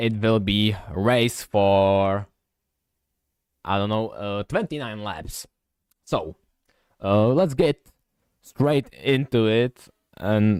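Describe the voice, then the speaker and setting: In a very clean recording with a silent background and a dry, close sound with no echo, a man with a non-native accent and fairly low pitch speaks very slowly, with ordinary pitch variation and long, frequent pauses. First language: not English. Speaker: sim racing commentator. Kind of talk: live commentary. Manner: halting, many fillers and restarts.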